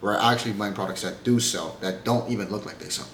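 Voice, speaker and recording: A man speaks over noticeable background noise. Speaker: YouTuber giving reselling advice. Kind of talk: casual tutorial to camera. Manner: fast; casual, some stumbling.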